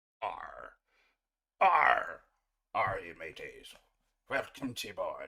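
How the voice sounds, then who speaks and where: A man speaks in a put-on character voice, pitched extremely high. He goes very slowly, with long, frequent pauses. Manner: growly, playful.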